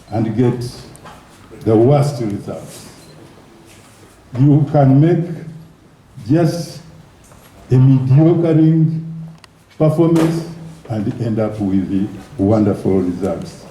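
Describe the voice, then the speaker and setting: A man's fairly high voice in a Ugandan accent, very slow pace, long, frequent pauses and very wide pitch swings. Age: 70s. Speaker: former football federation president. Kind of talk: award speech.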